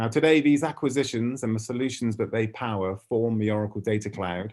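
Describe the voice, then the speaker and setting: This man talks at a medium pitch with a British accent. His pitch varies in an ordinary way over a quiet background. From UK. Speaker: ad tech industry speaker. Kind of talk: keynote presentation.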